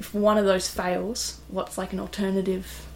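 A woman speaks with an Australian accent. Audible room echo surrounds her voice. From Tasmania, Australia. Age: 20s. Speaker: sailmaker and offshore racer. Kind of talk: casual interview chat. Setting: on board a yacht.

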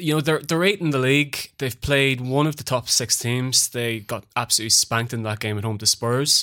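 A man with an Irish accent talks at a moderate pace in a bright, sharp tone. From Ireland. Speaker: football trader and podcast co-host.

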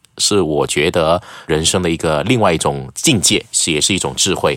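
A man's very deep, low pitch at a moderate pace, with lively intonation. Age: 40s. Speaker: news presenter and media educator. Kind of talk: casual chat.

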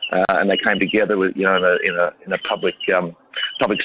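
Over noticeable background noise, a man with an Australian accent talks at a very fast pace. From Australia, country New South Wales. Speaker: founder of an inclusive rugby club. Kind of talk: radio interview. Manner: hesitant, many fillers.

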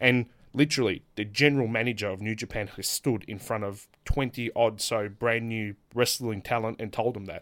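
In a very clean recording with a silent background, a man with an Australian accent talks at a moderate pace and medium pitch, with hardly any pauses, fairly even intonation and big swings in loudness. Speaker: professional wrestler. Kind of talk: casual chat. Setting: studio.

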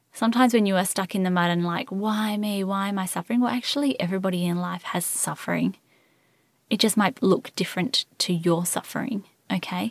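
A woman with an Australian accent talks at a fairly quick pace with ordinary pitch variation. Her medium pitch comes through on a very clean recording with a silent background. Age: 30s. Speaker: podcast host and infertility coach. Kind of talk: solo podcast monologue. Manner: animated.

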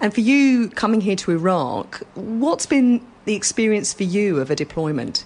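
Very wide pitch swings, very even loudness, a moderate pace with hardly any pauses, and noticeable background noise. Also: woman, medium pitch for a woman. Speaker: army podcast reporter. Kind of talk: interview and reporting. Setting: military hospital in Iraq.

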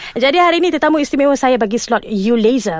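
This woman speaks at a moderate pace, her pitch swinging very widely. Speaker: broadcast journalist and TV news presenter. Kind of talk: interview.

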